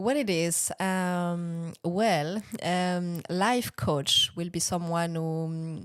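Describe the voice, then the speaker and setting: A woman with a French accent, fairly low pitch and ordinary pitch variation, at a very slow pace, in a very clean recording with a silent background. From France (Bordeaux). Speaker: business and life coach, former actress. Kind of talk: interview answer.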